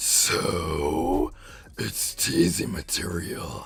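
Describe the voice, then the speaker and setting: A man's raspy put-on character voice, very deep and low in pitch, over light background noise. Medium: read story. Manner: teasing, smug.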